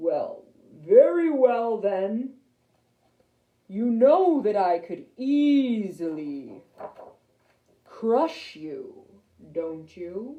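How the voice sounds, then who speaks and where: In a booming, female-sounding put-on character voice with a fairly high pitch and very wide pitch swings, the speaker goes at a very slow pace with long, frequent pauses. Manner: threatening, imperious.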